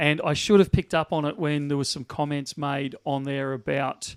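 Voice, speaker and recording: A man with an Australian accent speaks at a fairly high pitch, recorded dry and close with no echo on a very clean recording with a silent background. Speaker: bullion dealer. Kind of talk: live stream chat. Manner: loud.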